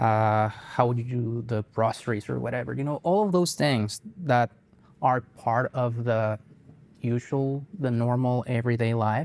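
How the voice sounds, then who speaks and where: A man with a Spanish accent speaks at a fairly slow pace in a medium pitch with ordinary pitch variation. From Colombia (Bogota). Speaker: guitarist and music teacher. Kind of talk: interview. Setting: on camera interview. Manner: hesitant, many fillers.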